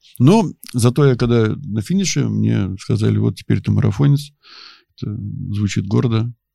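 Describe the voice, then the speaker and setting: Long pauses come often, though the speaking itself keeps a moderate pace. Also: man. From Tver region, Russia. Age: 50s. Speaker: ultramarathon runner. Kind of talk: casual chat. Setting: studio.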